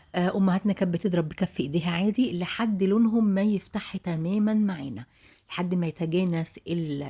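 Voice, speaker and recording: Somewhat breathy, dark and mellow, a woman's medium-pitched voice with ordinary pitch variation at a moderate pace. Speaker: home cooking video host. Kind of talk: cooking tutorial. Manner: chatty, conversational.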